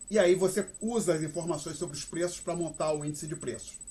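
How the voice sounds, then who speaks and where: Dark, mellow tone with ordinary pitch variation. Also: man. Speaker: university professor. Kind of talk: lecture. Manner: fast.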